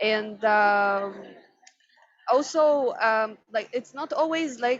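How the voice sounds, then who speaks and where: Very slowly, a woman with a non-native accent speaks at a fairly high pitch. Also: ordinary pitch variation. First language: not English. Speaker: tech industry panelist. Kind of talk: panel discussion. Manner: halting, many fillers.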